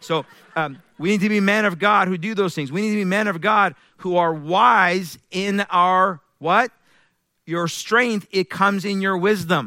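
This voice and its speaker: A man speaks in a raised, projected voice with a high pitch and a bright, sharp, animated tone. His pace is fairly slow, his pitch variation ordinary, and the recording very clean with a silent background. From Iran. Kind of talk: sermon. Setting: church.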